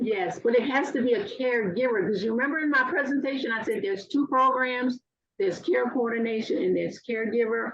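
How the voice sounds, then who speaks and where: In a high voice with lively intonation, a woman talks very fast. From Louisiana. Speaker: aging services caregiver program worker. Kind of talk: webinar presentation Q&A.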